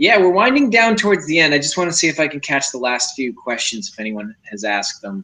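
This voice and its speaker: Speaking at a very fast pace with hardly any pauses, a man with a fairly high pitch makes very wide pitch swings. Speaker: live stream host. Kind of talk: casual chat.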